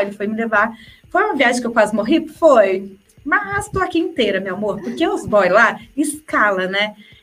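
A woman is speaking. Her pace is moderate. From interior of São Paulo state, Brazil. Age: 30s. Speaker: travel journalist. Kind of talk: casual interview chat.

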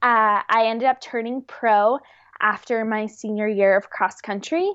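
A woman speaks fairly slowly in a normal speaking voice with a fairly high pitch. Her intonation is fairly even. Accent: American. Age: 20s. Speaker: professional distance runner. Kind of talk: interview.

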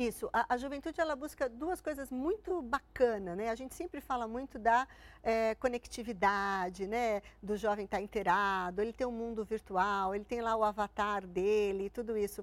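A woman with an unremarkable speaking voice talks at a moderate pace in a fairly high pitch with ordinary pitch variation, on a very clean recording with a silent background. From Santo André, São Paulo, Brazil. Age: 50s. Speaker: corporate relations executive. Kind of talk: interview.

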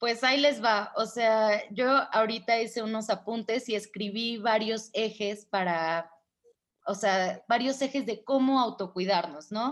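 A woman with a normal speaking voice talks at a fairly slow pace, her pitch fairly high and her pitch variation ordinary. The background is quiet. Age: 20s. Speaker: feminist activist and radio host. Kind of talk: interview.

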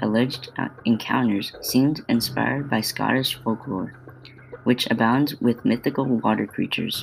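Noticeable background noise behind a man at a medium pitch. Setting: home-recorded podcast. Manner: stumbling reader, halting with false starts and repeated words; flat, earnest, steady pacing like a student presenter.

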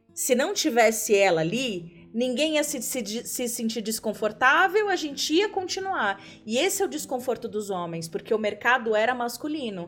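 Over noticeable background noise, a woman speaks in a high pitch at a moderate pace, with very wide pitch swings and hardly any pauses. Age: 30s. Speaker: podcast guest. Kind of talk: casual chat.

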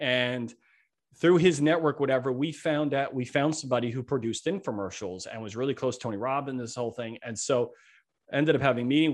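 Against a quiet background, a man talks in a plain, everyday voice. His medium pitch shows ordinary variation. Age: 50s. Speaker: entrepreneur and author. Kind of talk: podcast interview.

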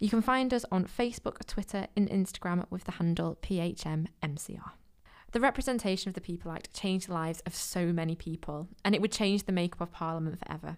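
A woman speaks very fast in a Mancunian accent at a medium pitch with ordinary pitch variation. The recording is very clean, with a silent background. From Manchester, England. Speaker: museum podcast host. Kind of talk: podcast interview and narration. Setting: in a museum.

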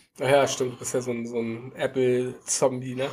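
Noticeable noise sits in the background as this man talks. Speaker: podcast co-host, tech worker. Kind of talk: casual chat. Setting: video call.

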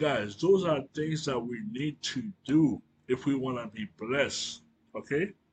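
With a fairly high pitch and a somewhat breathy voice, a man speaks at a fairly slow pace with lively intonation. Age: 40s. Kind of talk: religious teaching monologue. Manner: hesitant with fillers.

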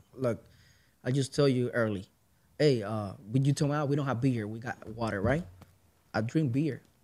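With a Puerto Rican accent, a man speaks at a moderate pace and medium pitch in a dark, mellow tone, with ordinary pitch variation and long, frequent pauses. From Puerto Rico. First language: Spanish. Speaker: musician and podcaster. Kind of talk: casual chat.

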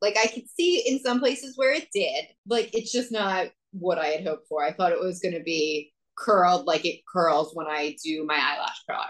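With lively intonation and a moderate pace, a woman speaks at a medium pitch in a normal speaking voice. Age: 30s. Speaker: podcast co-host. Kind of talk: casual chat.

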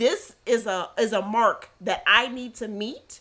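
The woman speaking has a fairly high pitch. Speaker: podcast co-host. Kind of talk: casual chat. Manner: animated, gets loud when excited.

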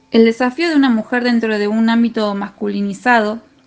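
A woman with an unremarkable speaking voice and a fairly high pitch speaks at a fairly slow pace. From Argentina, Rosario. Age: 30s. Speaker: football referee. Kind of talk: testimony.

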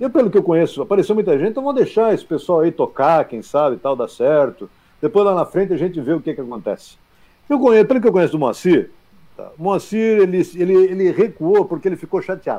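A man talks at a very fast pace. His pitch is high and his intonation lively. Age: 50s. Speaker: football club insider and commentator. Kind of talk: sports talk show.

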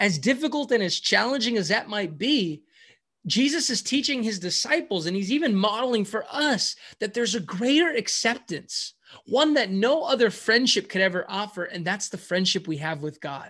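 An American-accented man talks at a moderate pace in a high pitch with a bright, sharp tone. His pitch swings very widely. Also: quiet background. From US, San Francisco Bay Area. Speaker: pastor. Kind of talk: sermon. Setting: video call.

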